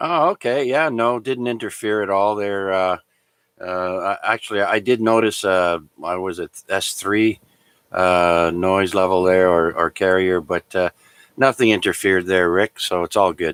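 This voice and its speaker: A man with a Canadian accent has a plain, everyday voice, fairly low in pitch with ordinary pitch variation. He talks at a fairly slow pace, and the sound is dry and close with no echo. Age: 60s. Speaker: amateur radio net controller. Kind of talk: radio net chat. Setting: amateur radio transmission.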